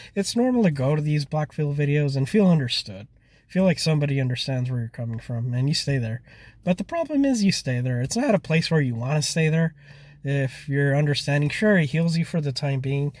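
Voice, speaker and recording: A man talks fairly quickly. There is a somewhat breathy quality to his voice. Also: ordinary pitch variation. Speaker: dating advice commentator. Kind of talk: casual talk to camera.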